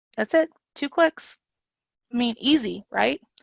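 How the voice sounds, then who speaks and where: In a slight Southern US accent, a woman speaks with a bright, sharp tone and lively intonation, the sound dry and close with no echo. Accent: slight Southern twang. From US South. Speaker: training and learning design presenter. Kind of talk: webinar presentation with Q&A. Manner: fast when excited; animated.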